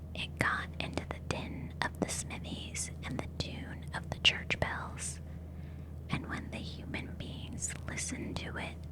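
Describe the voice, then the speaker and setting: A woman whispers in a calm tone at a very slow pace, with noticeable background noise behind her. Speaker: ASMR artist. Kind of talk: ASMR audiobook reading. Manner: soft, whispery, calm.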